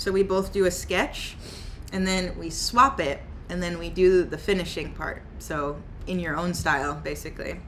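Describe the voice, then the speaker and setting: Audible room echo surrounds a woman with an American accent who speaks at a medium pitch and a fairly slow pace. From US Midwest, Kansas City. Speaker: artist streamer. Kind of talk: casual chat. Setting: livestream.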